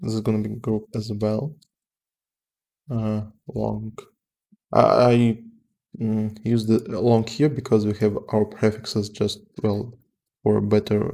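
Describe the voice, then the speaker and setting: At a very slow pace with long, frequent pauses, a man with a fairly low pitch speaks in a dark, mellow tone and fairly even intonation. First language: not English. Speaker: software developer. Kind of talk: live coding tutorial. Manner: halting, many fillers.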